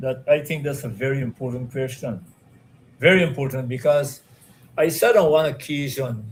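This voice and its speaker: Somewhat breathy, a man speaks at a moderate pace and fairly high pitch. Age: 70s. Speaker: retired police and military officer. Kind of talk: interview. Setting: live stream.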